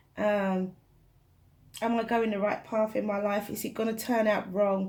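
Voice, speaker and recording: Soft-spoken and somewhat breathy, a woman talks with monotone, flat intonation. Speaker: tarot reader. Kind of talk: tarot reading.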